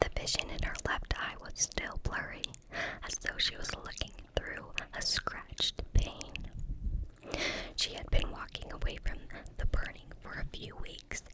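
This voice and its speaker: A woman whispering at a fairly slow pace, with big swings in loudness, long, frequent pauses, and noticeable background noise. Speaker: ASMR creator. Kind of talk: audiobook-style reading of a fantasy novel. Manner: whispered, soft-spoken.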